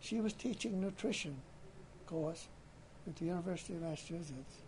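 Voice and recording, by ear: A man with a Maine accent speaks at a moderate pace and fairly high pitch, his slightly mellow tone showing ordinary pitch variation. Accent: Maine, New England.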